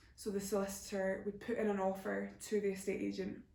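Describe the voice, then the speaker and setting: A woman of medium pitch is speaking. Noticeable background noise and audible room echo surround her voice. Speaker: YouTuber. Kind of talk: Q&A answering viewer questions. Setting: home video recording, camera flash in eyes. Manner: casual, hesitant with fillers.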